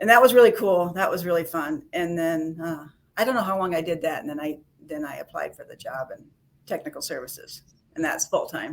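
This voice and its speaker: Speaking with an American accent, a woman with a fairly low pitch uses lively intonation and big swings in loudness. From Sioux City, Iowa (US Midwest). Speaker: library technical services worker. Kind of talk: casual chat interview.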